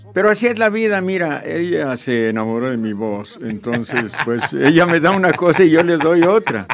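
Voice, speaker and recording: A man's fairly high-pitched voice with very wide pitch swings and hardly any pauses, over noticeable background noise. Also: moderate pace. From Mexico, Jalisco. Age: 70s. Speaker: radio broadcaster and painter. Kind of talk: casual interview.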